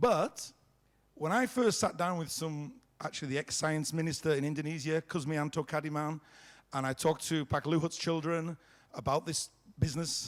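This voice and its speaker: Recorded very cleanly against a silent background, a man speaks at a moderate pace with a fairly high pitch and ordinary pitch variation. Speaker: company founder giving keynote. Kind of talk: conference keynote speech. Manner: loud.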